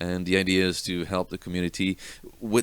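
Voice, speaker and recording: In a very clean recording with a silent background, a man speaks at a moderate pace in a very deep, low pitch. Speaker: web design coach. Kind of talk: course promo talk. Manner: halting, many fillers.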